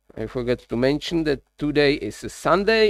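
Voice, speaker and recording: A man with a Czech accent talks at a fairly slow pace with lively intonation, in a very clean recording with a silent background. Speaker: live streamer, workshop builder. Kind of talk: casual live-stream chat while working.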